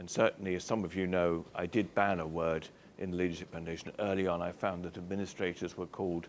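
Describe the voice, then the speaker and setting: A man with a British accent talks at a very fast pace in a very deep, low, monotone voice. The recording is very clean, with a silent background. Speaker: chief executive giving a talk. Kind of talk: speech to an audience.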